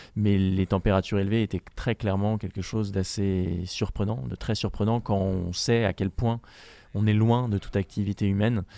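This man has a dark, mellow tone and fairly even intonation at a moderate pace. The recording is very clean, with a silent background. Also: fairly low pitch for a man, dry, close sound with no echo. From France. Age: 20s. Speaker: polar explorer. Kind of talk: interview. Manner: halting.

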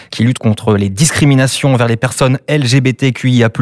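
A man talks fairly quickly as music plays in the background. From Brittany. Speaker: podcast host. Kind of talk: interview.

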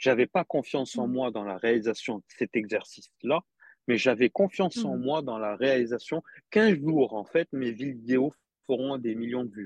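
A man speaks in an unremarkable speaking voice at medium pitch and a moderate pace. His pitch varies in an ordinary way, and the sound is dry and close with no echo. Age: 40s. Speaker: dry cleaner manager and social media motivator. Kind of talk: casual interview chat.

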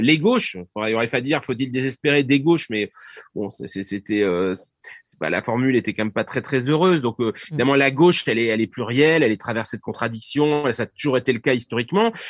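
A man with a medium pitch talks at a very fast pace with lively intonation, in a dry, close sound with no echo over a quiet background. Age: 50s. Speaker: political science professor. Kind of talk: interview. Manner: halting.

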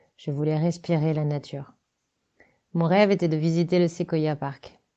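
A woman has a normal speaking voice. She talks at a fairly slow pace with fairly even intonation. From France, Loiret / Sologne. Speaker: decorator and set designer. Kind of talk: reading aloud.

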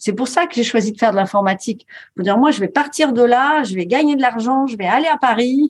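Quick and lively, a woman talks at a fairly quick pace in a high pitch with lively intonation. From rural France. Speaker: coach and author. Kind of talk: interview.

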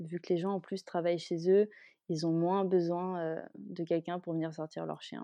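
A woman's fairly low-pitched voice, dark and mellow in tone, with monotone, flat intonation over a quiet background. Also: moderate pace, dry, close sound with no echo. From Malaysia (French expat childhood, Kuala Lumpur). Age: 20s. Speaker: dog owner. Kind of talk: interview.

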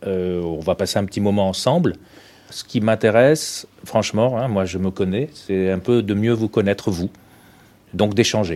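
In a normal speaking voice, a man talks at a fairly low pitch and fairly slow pace with ordinary pitch variation. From Tunisia. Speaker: press cartoonist. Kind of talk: classroom talk. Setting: school.

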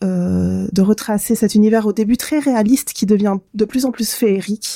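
A woman speaks at a fairly slow pace with a fairly high pitch, ordinary pitch variation and a dark, mellow tone, in a dry, close sound with no echo. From southern France, Côte d'Azur. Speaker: gaming podcast co-host. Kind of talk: casual chat.

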